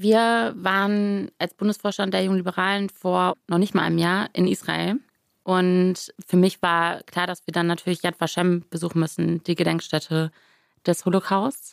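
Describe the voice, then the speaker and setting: A plain, everyday voice at a moderate pace with fairly even intonation, in a dry, close sound with no echo. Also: woman, medium pitch for a woman. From western Germany, Rhineland (Grevenbroich). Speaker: politician. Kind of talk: interview.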